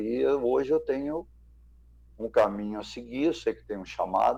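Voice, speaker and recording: A man speaks at a moderate pace. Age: 60s. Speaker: former footballer. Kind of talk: testimony. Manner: halting.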